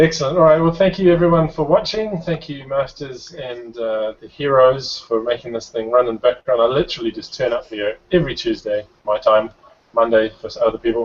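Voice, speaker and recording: A man with a New Zealand accent, fairly high pitch, lively intonation, big swings in loudness, and a fairly quick pace. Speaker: show host. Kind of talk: casual chat.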